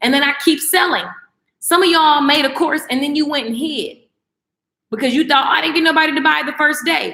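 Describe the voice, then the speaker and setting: A woman speaks in a raised, projected voice with a high pitch and a bright, sharp, animated tone. Her pace is fairly quick and her pitch variation is ordinary. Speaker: online course creator and coach. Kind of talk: live-stream class. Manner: fast.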